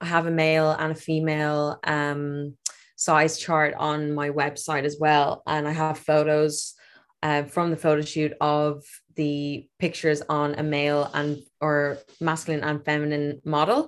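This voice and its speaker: With an Irish accent, a woman speaks at a fairly slow pace in a very deep, low pitch with monotone, flat intonation. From Ireland, Dublin area. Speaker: fashion designer and former nurse. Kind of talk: interview.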